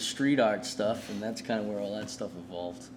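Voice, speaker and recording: Man with a Boston accent and fairly even intonation, audible room echo around him. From New England, Boston area. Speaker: street artist. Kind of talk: casual interview chat.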